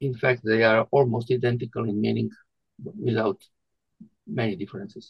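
With a Croatian accent, a man speaks at medium pitch and a moderate pace, showing vocal fry. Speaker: retired doctor and poet. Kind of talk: interview conversation. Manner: halting.

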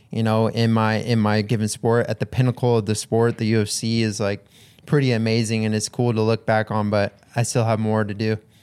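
Speaking at a fairly quick pace, a man keeps a medium pitch with flat, monotone intonation. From Hawaii. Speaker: professional MMA fighter. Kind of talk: casual interview chat.

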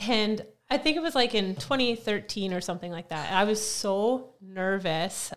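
A woman with a Canadian prairie accent, medium pitch, lively intonation and a moderate pace. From Saskatchewan, Canada. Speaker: gym coach. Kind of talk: casual interview chat.

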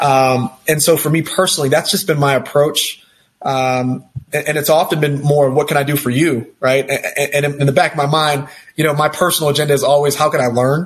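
A man with an American accent speaks at a fairly high pitch and a fairly quick pace in a somewhat breathy voice. His intonation is monotone and flat, and his loudness stays very even. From Texas. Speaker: healthcare executive. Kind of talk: interview. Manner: halting, many fillers and repeated words.

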